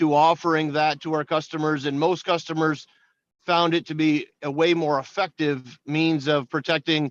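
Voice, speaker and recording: Fairly high-pitched male voice, monotone and flat, at a moderate pace in a dry, close sound with no echo over a quiet background. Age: 40s. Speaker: farmer and seed dealer. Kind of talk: legislative testimony.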